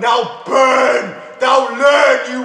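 A man shouting at an extremely high pitch, very slow, with audible room echo. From United Kingdom. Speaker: spoken word poet. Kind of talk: spoken word poetry performance over music, rhythmic and declamatory. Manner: rhythmic, rhyme-driven delivery with internal rhymes; impassioned, sardonic and exclamatory. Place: empty room.

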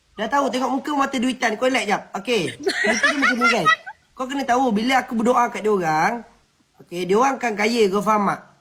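This man talks very fast in an extremely high pitch, his voice raised and projected. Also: ordinary pitch variation. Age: 20s. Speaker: TikTok live streamer. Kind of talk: casual chat.

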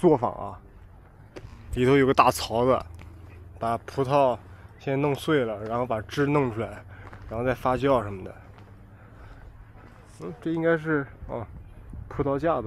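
Very slow speech from a man, with long, frequent pauses, ordinary pitch variation, light background noise and a dry sound with no echo. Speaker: travel vlogger. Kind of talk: casual vlog chat. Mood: curious, occasionally startled. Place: open country. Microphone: phone near.

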